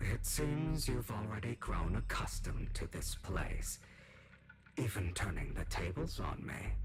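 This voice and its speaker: A put-on character voice with a menacing tone moves at a fairly slow pace over clear background noise. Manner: spooky, menacing.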